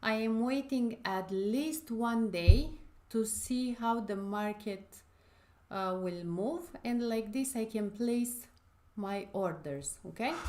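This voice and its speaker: Speech unfolds very slowly. The tone is dark and mellow. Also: woman, fairly high pitch for a woman, lively intonation. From Romania. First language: Romanian. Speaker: forex trading educator. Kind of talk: live trading tutorial stream. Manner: hesitant, many fillers.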